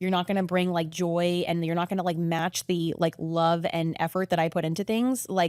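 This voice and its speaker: There are hardly any pauses, and the intonation is monotone and flat. Loudness stays very even. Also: woman, fairly low pitch for a woman. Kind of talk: podcast interview. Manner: talks a lot and loudly, by own account; fast, chatty, many fillers.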